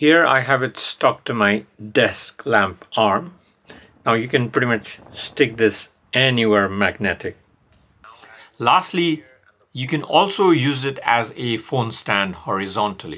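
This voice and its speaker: In a bright, sharp tone, a man speaks fairly slowly with lively intonation. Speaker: product reviewer. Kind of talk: product review tutorial. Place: home room.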